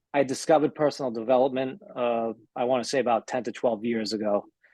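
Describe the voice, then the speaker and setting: A man speaks fairly quickly with a dark, mellow tone and fairly even intonation, the sound dry and close with no echo. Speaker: webinar participant asking a question. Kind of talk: Q&A on a group video call. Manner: monotone; laid back.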